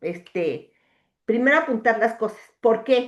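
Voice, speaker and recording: This is a woman speaking. Her pitch is high. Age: 60s. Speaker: coaching client. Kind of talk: coaching session conversation. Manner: hesitant, many fillers.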